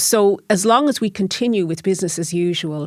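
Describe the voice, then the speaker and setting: A woman speaks with a Dublin accent at a medium pitch and a moderate pace. Her pitch varies in an ordinary way, and the recording is very clean with a silent background. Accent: Irish (Dublin). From Ireland, Dublin. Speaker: lecturer and cycling activist. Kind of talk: interview. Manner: hesitant, with fillers and repetitions.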